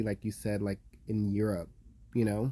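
A man's fairly low, dark, mellow voice at a moderate pace. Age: 20s. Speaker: podcast host. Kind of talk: casual chat.

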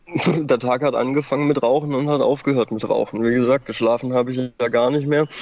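With hardly any pauses, a man talks at a fairly quick pace in a monotone, flat intonation over noticeable background noise. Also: medium pitch for a man. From Baden-Württemberg, Germany. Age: 30s. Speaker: former meth user. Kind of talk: testimony. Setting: outdoors.

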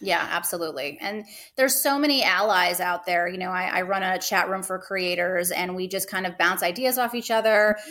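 An unremarkable speaking voice, this woman talks at a fairly quick pace with medium pitch and hardly any pauses. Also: ordinary pitch variation. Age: 40s. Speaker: adult content creator. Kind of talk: casual chat.

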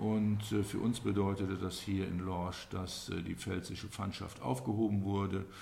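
A man at a fairly low pitch and fairly slow pace, with hardly any pauses and audible room echo. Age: 60s. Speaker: local historian and business owner. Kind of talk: interview. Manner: hesitant, many fillers.

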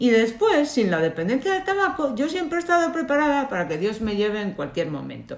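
A woman speaks in a high pitch at a fairly quick pace, with hardly any pauses and very wide pitch swings. Noticeable background noise runs underneath. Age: 50s. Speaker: lawyer and cancer survivor. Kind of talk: interview.

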